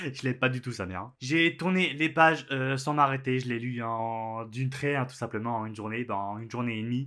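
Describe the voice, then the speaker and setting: Bright, sharp tone from a male speaker, with ordinary pitch variation. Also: medium pitch for a man, hardly any pauses. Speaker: book youtuber. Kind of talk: casual book review vlog. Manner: hesitant, many filler sounds.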